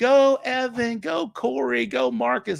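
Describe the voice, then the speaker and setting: A man uses a loud, shrill, put-on character voice at a high pitch. He goes at a fairly slow pace with very wide pitch swings. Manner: excited, cheering.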